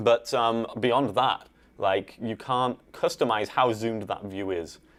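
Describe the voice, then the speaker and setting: A man talks at a very slow pace in an English accent. His intonation stays fairly even. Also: medium pitch for a man. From northern England, Yorkshire (Ossett). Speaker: assistive technology specialist, co-host. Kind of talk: live show chat; tutorial. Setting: live stream.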